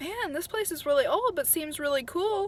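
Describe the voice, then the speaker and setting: A woman puts on a squeaky character voice at an extremely high pitch with very wide pitch swings, speaking at a moderate pace over light background noise. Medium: read story. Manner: casual.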